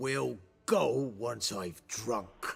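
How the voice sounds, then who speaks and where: A man growls in a put-on character voice. His pitch is medium. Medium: video game. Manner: gruff, belligerent.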